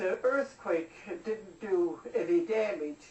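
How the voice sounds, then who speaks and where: A woman's very slow speech with lively intonation over noticeable background noise. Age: 80s+. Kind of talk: interview answer.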